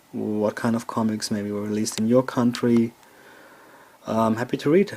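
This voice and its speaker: A man with a German accent talks at a moderate pace in a medium-pitched, dark, mellow tone with fairly even intonation. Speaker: toy collector video host. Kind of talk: casual show-and-tell tour. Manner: halting with fillers.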